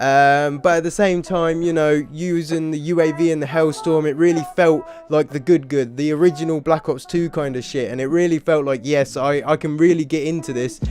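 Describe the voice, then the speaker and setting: Music plays behind a man with a fairly high voice. He speaks with fairly even intonation and hardly any pauses. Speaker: gaming YouTuber. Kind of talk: casual gameplay commentary vlog. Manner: fast; casual, hesitant with fillers.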